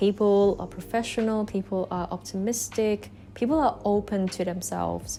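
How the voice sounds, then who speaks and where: A woman is speaking. Music is heard in the background. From Hong Kong. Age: 20s. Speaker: piano teacher and emerging film director. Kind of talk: interview. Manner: self-correcting.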